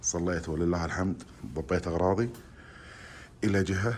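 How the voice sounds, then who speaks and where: A man speaks quietly with vocal fry at a very deep, low pitch. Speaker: travel vlogger. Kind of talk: casual vlog. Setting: restaurant. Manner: quiet, holding voice down.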